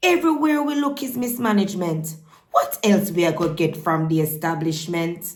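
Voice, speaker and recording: A woman with a Jamaican accent speaks at a moderate pace and a fairly low pitch. Her voice is somewhat breathy, with very wide pitch swings. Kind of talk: poetry reading.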